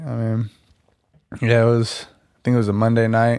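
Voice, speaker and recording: A man speaks with an American accent. His pitch is medium and his pace moderate. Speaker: podcast guest. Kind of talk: casual chat. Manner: loud.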